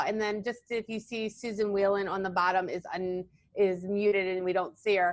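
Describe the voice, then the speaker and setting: Her intonation monotone and flat, a woman speaks at a medium pitch. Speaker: physical therapist and yoga therapist. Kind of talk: presentation. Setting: video call. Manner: fast.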